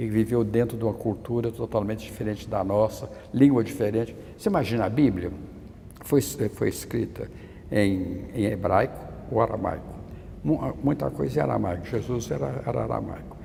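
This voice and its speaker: A man speaks at a moderate pace in a fairly low pitch with a dark, mellow tone and vocal fry. His intonation is lively, broken by long, frequent pauses. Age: 80s+. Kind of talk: interview. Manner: halting, with frequent stammered restarts.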